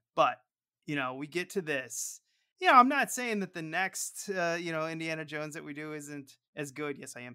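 The speech moves at a moderate pace. The background is quiet. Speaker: podcast co-host. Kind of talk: casual podcast chat. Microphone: studio mic.

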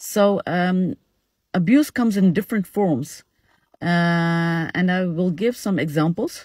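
A woman with a fairly low, somewhat breathy voice speaks at a fairly slow pace with ordinary pitch variation, her dry sound carrying no echo over a quiet background. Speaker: social media educator. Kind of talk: casual informative talk. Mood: calm, serious. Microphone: phone near.

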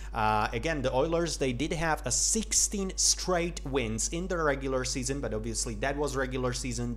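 A man speaks at a moderate pace with a Slovak accent. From Slovakia. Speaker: hockey YouTuber. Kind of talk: solo commentary video. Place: home room.

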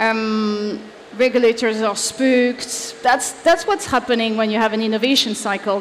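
A woman with a French accent speaks in a fairly high voice at a moderate pace. Her intonation is fairly even, with light background noise behind her. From France. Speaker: leadership advisor; conference speaker. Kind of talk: conference talk. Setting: stage with audience. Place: stage.

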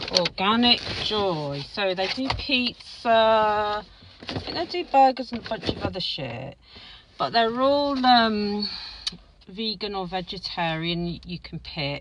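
Slow-paced and dry with no echo, a woman's voice swings very widely in pitch over noticeable background noise. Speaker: food vlogger. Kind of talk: casual vlog chat. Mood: chatty, mildly surprised. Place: car. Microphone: phone near.

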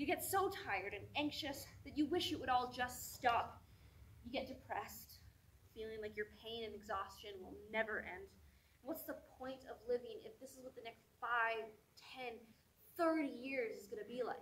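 A woman's high voice, intense and dramatic, with lively intonation at a moderate pace. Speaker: performer. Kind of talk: spoken-word monologue, performed. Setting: stage with audience. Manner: intense, dramatic, emotionally charged delivery. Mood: earnest, intense. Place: stage. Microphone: camera far.

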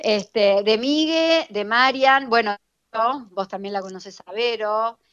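A woman with a fairly high pitch speaks at a very slow pace, with big swings in loudness and ordinary pitch variation, in a dry, close sound with no echo. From Buenos Aires, Argentina. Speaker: fashion influencer, accountant. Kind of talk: casual interview. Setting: remote call.

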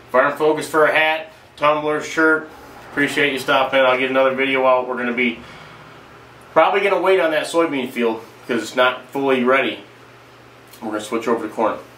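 A man talks at a fairly quick pace and medium pitch with a bright, sharp tone and ordinary pitch variation. Long, frequent pauses break up his speech amid audible room echo.

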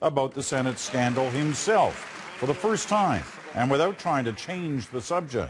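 There is crowd noise in the background. A man is speaking. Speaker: news anchor. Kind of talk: TV news report. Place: studio. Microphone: lapel.

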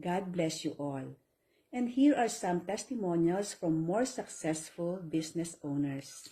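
A somewhat breathy woman with a dark, mellow tone, fairly low pitch, lively intonation and a fairly slow pace. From Philippines. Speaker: online business promoter. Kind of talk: sales pitch.

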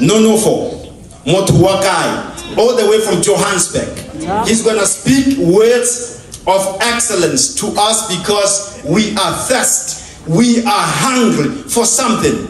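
Very slowly and with ordinary pitch variation, a man speaks in a high pitch, with light background noise and audible room echo. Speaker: host introducing the preacher. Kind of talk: formal speech introduction. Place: church. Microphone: pa.

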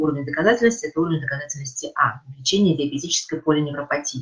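A woman rattles along very fast, her pitch varying in an ordinary way. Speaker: associate professor of neurology. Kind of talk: lecture. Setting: video call. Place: home room. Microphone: webcam.

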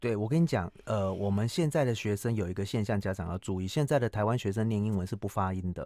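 In a very fast run with hardly any pauses, a man speaks at a fairly low pitch with ordinary pitch variation and a dark, mellow tone, in dry sound with no echo against a quiet background. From Taiwan. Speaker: cram school English teacher and author; cram school English teacher. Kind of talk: radio interview. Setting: radio studio. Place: studio. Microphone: studio mic.

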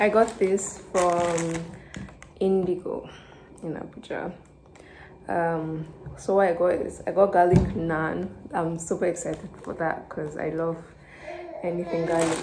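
There is noticeable background noise behind this woman. She speaks fairly slowly, with long, frequent pauses. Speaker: food vlogger. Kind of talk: casual vlog chat. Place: home room. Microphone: phone near.

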